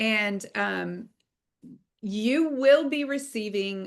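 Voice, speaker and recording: This woman's pitch is fairly high, with ordinary variation. The background is quiet. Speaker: online course instructor. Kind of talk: online class lecture.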